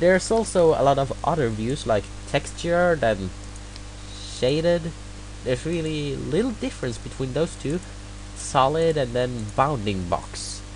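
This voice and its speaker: A man with a slight non-native accent, fairly slow, with long, frequent pauses and noticeable background noise. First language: not English. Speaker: hobbyist tutorial maker. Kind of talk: screen-recorded software tutorial. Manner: halting, many fillers.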